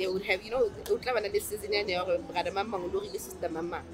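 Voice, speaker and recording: Noticeable background noise sits behind a woman's voice. She speaks at a medium pitch with lively intonation. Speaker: guest. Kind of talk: casual chat. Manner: loud.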